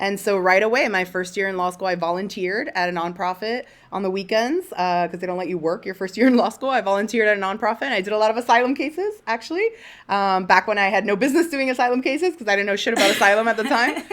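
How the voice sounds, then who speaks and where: A woman talks at a very fast pace in an animated tone with lively intonation. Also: medium pitch for a woman. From Miami, Florida (Cuban American). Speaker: immigration lawyer, podcast co-host. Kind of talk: casual chat.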